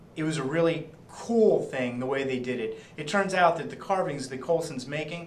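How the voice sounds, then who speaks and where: The man's pitch is fairly high, with ordinary variation. Background noise is noticeable. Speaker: comic shop staff, TV show reviewer host. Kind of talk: casual chat. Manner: animated.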